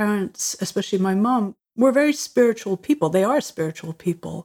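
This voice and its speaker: A woman speaks with an Irish accent. The sound is dry and close, with no echo. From Ireland. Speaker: musician and creativity coach. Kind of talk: interview.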